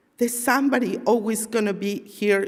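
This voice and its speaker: Against noticeable background noise, a woman talks fairly slowly, her pitch varying in an ordinary way. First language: not English. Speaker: community member giving testimony. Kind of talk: testimony.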